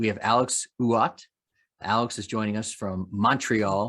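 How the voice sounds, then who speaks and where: A man with an American accent, a normal speaking voice at fairly low pitch and ordinary pitch variation. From US, Washington D.C. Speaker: panel moderator. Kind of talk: webinar panel discussion.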